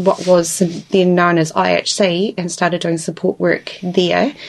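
Amid noticeable background noise, a woman speaks in a Southland New Zealand accent with fairly even intonation. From New Zealand, Invercargill (Southland). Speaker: support worker. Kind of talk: interview. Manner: hesitant, many fillers.

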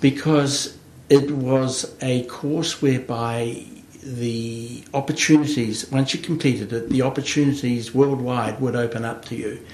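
Against noticeable background noise, a man with a New Zealand accent speaks at a medium pitch, a fairly slow pace and with fairly even intonation. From New Zealand, Hawke's Bay. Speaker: agribusiness consultant. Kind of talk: interview. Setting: studio. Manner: halting, many fillers.

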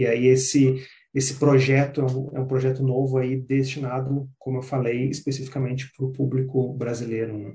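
Somewhat breathy and dark and mellow in tone, a man speaks at medium pitch with monotone, flat intonation. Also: moderate pace. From southern Brazil, Porto Alegre. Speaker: career and business coach. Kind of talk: interview. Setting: community radio. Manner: halting, many fillers.

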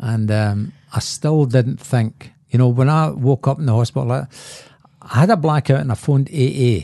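A man with a Scottish accent speaks at a moderate pace in a medium pitch, his tone dark and mellow, with ordinary pitch variation. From Scotland, Glasgow. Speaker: recovering alcoholic. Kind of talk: testimony.

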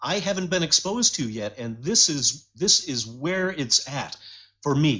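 With an American accent, a man speaks at a moderate pace in a fairly high pitch, his tone bright and sharp and his intonation lively. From US Midwest, Detroit. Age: 60s. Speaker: music collector and custom bicycle builder. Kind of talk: casual radio interview. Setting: phone call. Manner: halting, many fillers.

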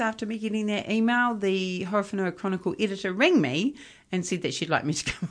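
Against a quiet background, the speaker talks with a New Zealand accent. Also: woman. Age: 50s. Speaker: journalist and broadcaster. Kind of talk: interview conversation.

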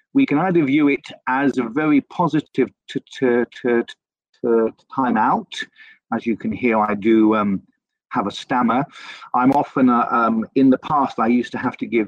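With a British accent, a man talks at a fairly slow pace in a medium pitch with ordinary pitch variation. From UK. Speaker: remote worker for a polytechnic. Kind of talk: casual chat. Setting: remote call. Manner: stammers.

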